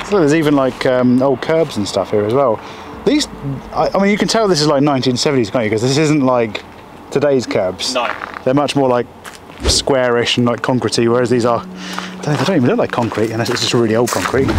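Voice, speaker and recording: Noticeable noise runs behind this man's fairly quick speech. The recording is dry, without any echo. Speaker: explorer vlogger. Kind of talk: casual vlog chat. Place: open country. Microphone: phone near.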